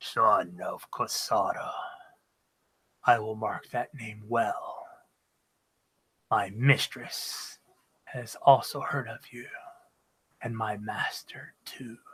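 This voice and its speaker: A man puts on a character voice that is raspy and guttural. He goes at a very slow pace, with long, frequent pauses. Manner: menacing, threatening.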